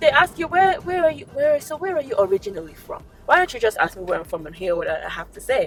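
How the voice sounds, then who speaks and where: Amid noticeable background noise, a woman speaks at a very fast pace with big swings in loudness. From Nigeria. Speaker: lifestyle vlogger. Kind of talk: casual talk to camera. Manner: animated.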